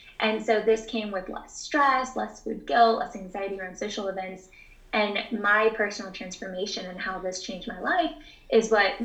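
A woman with an American accent talks at a medium pitch and a moderate pace, her intonation fairly even but her loudness swinging widely. Noticeable background noise and audible room echo fill the recording. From Texas (Houston). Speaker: dietitian. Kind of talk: interview answers.

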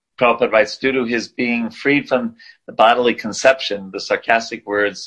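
The clip has an unforced reading voice. Its pitch varies in an ordinary way.

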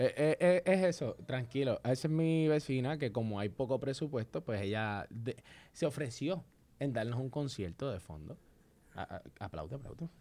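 On a very clean recording with a silent background, a man speaks at a fairly slow pace. His voice is dark and mellow, medium in pitch, with lively intonation. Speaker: podcast co-host. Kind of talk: casual chat. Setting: studio.

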